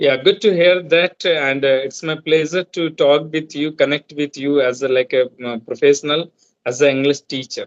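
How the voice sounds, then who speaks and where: The recording sounds dry and close, with no echo. A man talks at a moderate pace with a fairly high pitch and fairly even intonation. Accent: Indian. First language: Hindi. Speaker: law student. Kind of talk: casual chat. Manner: halting.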